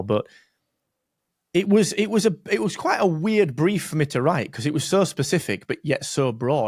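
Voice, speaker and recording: On a very clean recording with a silent background, a man with a Barnsley accent speaks with very wide pitch swings. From northern England, Barnsley. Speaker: podcast host. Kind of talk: casual interview.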